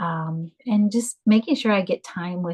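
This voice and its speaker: Somewhat breathy and fairly low-pitched, a woman speaks in a dry, close sound with no echo. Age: 60s. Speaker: homeschooling mother. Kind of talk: casual interview chat. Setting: podcast interview.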